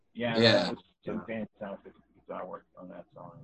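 Mumbling at a moderate pace, a man does a put-on character voice at medium pitch, recorded with a dry, close sound and no echo.

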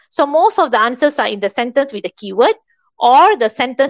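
With a Malaysian accent, a woman speaks at a high pitch that swings very widely. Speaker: English teacher. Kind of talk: lecture.

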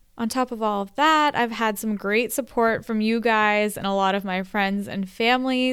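A woman with a fairly high pitch and ordinary pitch variation talks at a moderate pace, with an ordinary speaking voice. The recording is very clean, the background silent. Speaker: podcast host. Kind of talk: solo podcast monologue. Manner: upbeat.

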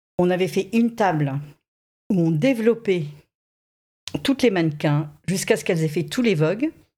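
A woman's fairly low, somewhat breathy voice with a dark, mellow tone, lively intonation and a moderate pace. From southern France (Saint-Raphaël). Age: 50s. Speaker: modelling agency director. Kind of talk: interview.

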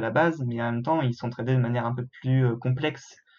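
Very fast, somewhat breathy speech from a man, medium in pitch and fairly even in intonation. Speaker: film student and podcast co-host. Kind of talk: casual chat.

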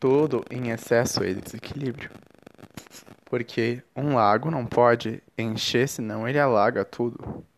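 A man's unremarkable speaking voice at medium pitch, fairly slow, with fairly even intonation. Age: 20s. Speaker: podcast host. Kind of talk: reflective spiritual monologue.

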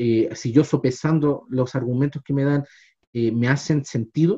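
A man speaks at a fairly slow pace, somewhat breathy. His tone is dark and mellow, with ordinary pitch variation. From Chile, Los Andes. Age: 30s. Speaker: history teacher, podcast co-host. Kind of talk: casual discussion. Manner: hesitant, many fillers.

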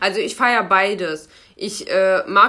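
A woman's bright, sharp tone at a medium pitch with ordinary pitch variation. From Germany, Lower Rhine (Krefeld). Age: 20s. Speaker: podcast co-host, project manager. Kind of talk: casual chat.

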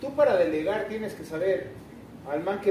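A man in an echoing room, with noticeable noise in the background. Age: 40s. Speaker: chef and restaurant owner. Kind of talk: onstage interview before a live audience. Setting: restaurant event with live audience.

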